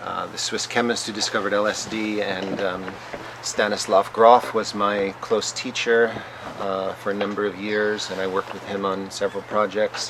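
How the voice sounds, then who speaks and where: The speaker has an American accent and a monotone, flat intonation. Noticeable background noise runs underneath. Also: man, fairly low pitch for a man, moderate pace. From United States. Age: 50s. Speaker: scholar of psychedelics and religion. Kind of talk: interview. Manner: halting, many fillers.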